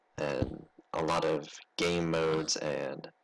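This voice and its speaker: A man with a very deep, low pitch speaks with vocal fry. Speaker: gaming YouTuber. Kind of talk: let's play commentary. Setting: bedroom. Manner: halting.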